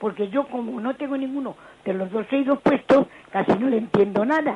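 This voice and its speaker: Against noticeable background noise, a woman speaks at a fairly quick pace in a high pitch. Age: 80s+. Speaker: caller. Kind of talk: phone-in call.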